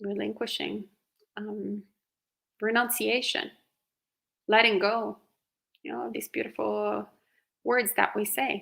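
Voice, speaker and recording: With an Italian accent, a woman speaks very slowly, leaving long, frequent pauses as her loudness swings widely. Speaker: Buddhist monastic. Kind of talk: live Q&A dharma talk.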